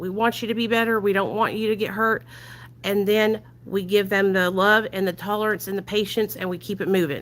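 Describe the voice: Loud and at a fairly quick pace, a woman with an American country accent talks at a medium pitch with fairly even intonation. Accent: American country twang.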